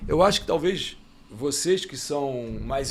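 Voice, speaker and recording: Using ordinary pitch variation, a man with a fairly high voice speaks in an ordinary speaking voice. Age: 60s. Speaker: motorsport journalist. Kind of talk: casual panel debate.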